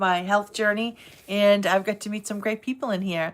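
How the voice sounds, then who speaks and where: A woman's medium-pitched voice in an American accent, moderately paced, with monotone, flat intonation, on a very clean recording with a silent background. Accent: Boston accent, noticed by others. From Boston, Massachusetts. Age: 50s. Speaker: health journey vlogger. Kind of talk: casual livestream chat. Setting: live stream at night. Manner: chatty, hesitant with fillers.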